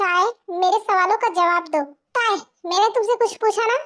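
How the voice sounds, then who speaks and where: A put-on, squeaky character voice from a woman, extremely high in pitch, at a moderate pace. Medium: audio drama. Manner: earnest, protective.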